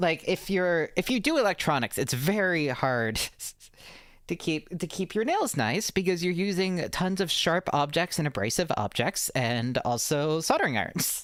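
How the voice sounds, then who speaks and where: With an American accent, a woman of fairly low pitch speaks at a moderate pace, her pitch swinging very widely. Her loudness is very even, in a very clean recording with a silent background. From US Mid-Atlantic, Maryland/Baltimore area. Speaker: streamer (vtuber). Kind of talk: casual live-stream chat. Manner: halting, many fillers and restarts.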